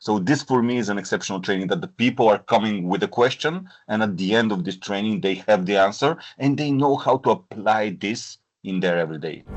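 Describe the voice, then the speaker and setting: Fairly quick and lively in intonation, a man with a non-native accent speaks with a fairly low pitch. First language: not English. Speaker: corporate trainer. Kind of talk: interview. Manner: hesitant, frequent fillers.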